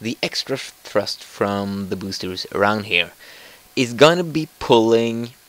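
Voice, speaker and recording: Very slowly, a man speaks at medium pitch with lively intonation. Noticeable background noise is present. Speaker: gamer. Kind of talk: let's play gaming commentary. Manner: casual, hesitant.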